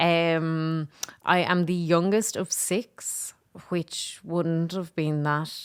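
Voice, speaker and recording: A woman speaks with a Dublin accent at a fairly low pitch. She goes at a very slow pace. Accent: Dublin Irish. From Ireland, Dublin. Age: 30s. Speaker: comedian and filmmaker. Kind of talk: casual interview.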